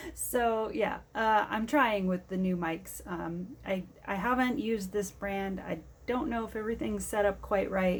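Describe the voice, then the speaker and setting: This woman's voice is soft-spoken. It comes across as somewhat breathy. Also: medium pitch for a woman, ordinary pitch variation, fairly slow pace. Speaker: diamond painting crafter and vlogger. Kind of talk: casual vlog chat. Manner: quiet, soft-spoken.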